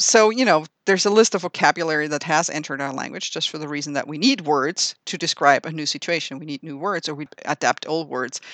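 A very fast delivery in a German accent with hardly any pauses, big swings in loudness and ordinary pitch variation, dry and close with no echo over a quiet background. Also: woman, very deep, low pitch for a woman. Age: 40s. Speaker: linguistics professor. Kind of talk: interview.

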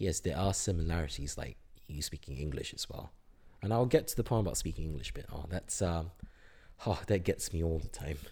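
This man's voice sits very deep and low, with a dark, mellow tone and vocal fry. He talks at a fairly quick pace with ordinary pitch variation. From Singapore. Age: 20s. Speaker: university student. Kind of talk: casual interview. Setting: at home.

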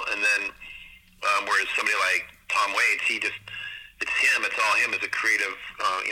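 With monotone, flat intonation, the man speaks at a fairly quick pace against noticeable background noise. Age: 60s. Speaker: photographer and music video director. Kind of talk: casual interview. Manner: hesitant, many fillers.

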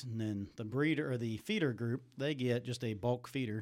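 A man's normal speaking voice at medium pitch and a fairly quick pace. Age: 40s. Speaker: farmer. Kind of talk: casual chat.

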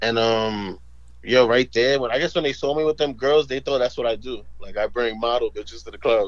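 This man talks with a New York accent. His pace is fairly quick. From New York, Spanish Harlem. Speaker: comedy video creator and club host. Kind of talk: casual interview. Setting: phone call.

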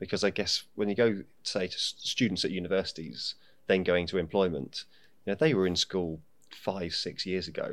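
A very deep, low-pitched man with a British accent, ordinary pitch variation, moderate pace, on a very clean recording with a silent background. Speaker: podcast host. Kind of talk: casual interview.

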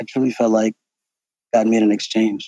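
A man talks at a fairly quick pace in a dark, mellow tone, with a dry, close sound and no echo. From South Sudan, raised partly in Germany and Ethiopia. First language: South Sudanese native tongue. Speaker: pharmacist and comedian. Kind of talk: interview testimony.

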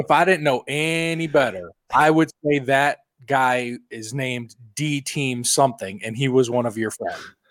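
A man with a fairly high pitch and ordinary pitch variation talks at a fairly slow pace in a plain, everyday voice. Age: 30s. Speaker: podcast host. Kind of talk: casual chat.

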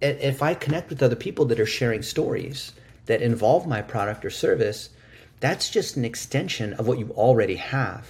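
A man's somewhat breathy voice at medium pitch and a moderate pace, with ordinary pitch variation. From US. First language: Chinese. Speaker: digital marketing expert. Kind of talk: interview conversation. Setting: video call.

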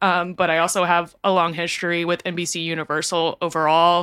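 A woman with an American accent talks at a moderate pace in a bright, sharp tone. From US South, Texas (outskirts of Houston). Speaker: lighting designer turned social worker. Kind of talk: casual chat. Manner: many filler words and hesitations.

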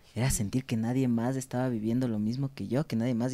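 Recorded very cleanly with a silent background, a man speaks at a medium pitch in a dark, mellow tone with fairly even intonation. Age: 30s. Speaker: clinical psychologist. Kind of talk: interview conversation.

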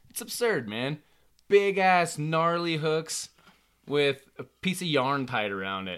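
Speaking very slowly, a man with a fairly high pitch makes very wide pitch swings and big swings in loudness. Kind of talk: casual chat over beers.

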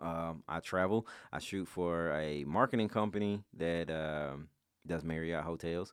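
With a Memphis accent, a man speaks fairly slowly in a very deep, low voice with ordinary pitch variation. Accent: Memphis Southern US. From Memphis, Tennessee. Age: 30s. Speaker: photographer and videographer. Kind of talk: casual chat.

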